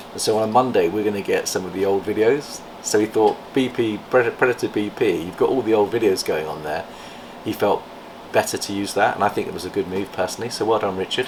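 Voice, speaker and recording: Someone talks at a very fast pace, with noticeable background noise. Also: man. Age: 60s. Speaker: reptile breeder and channel host. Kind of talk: casual vlog chat. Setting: reptile facility.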